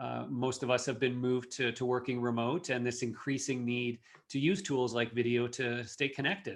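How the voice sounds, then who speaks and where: Here is a man with a Canadian accent and an ordinary speaking voice. His pitch is medium and his pace fairly quick. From Canada, Toronto area. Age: 40s. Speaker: marketing executive. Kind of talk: podcast interview.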